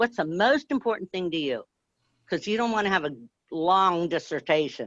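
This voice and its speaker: A loud woman with fairly low pitch talks at a moderate pace, her pitch swinging very widely. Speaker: grassroots activist. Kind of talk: casual chat. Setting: live video stream.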